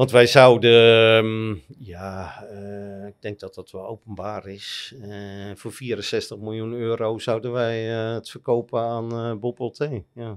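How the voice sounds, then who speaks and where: Against a quiet background, a man with a medium-pitched voice speaks very slowly in a flat monotone, hardly pausing, while his loudness swings widely. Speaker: private equity investor and columnist; podcast guest. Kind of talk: interview. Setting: studio lounge. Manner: halting, many repetitions and fillers. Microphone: studio mic.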